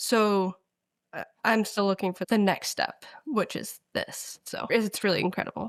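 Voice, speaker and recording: A woman talks in a normal speaking voice at medium pitch and a fairly slow pace. Her intonation is fairly even, and the recording is very clean with a silent background. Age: young. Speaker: patient with cystic fibrosis. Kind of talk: interview.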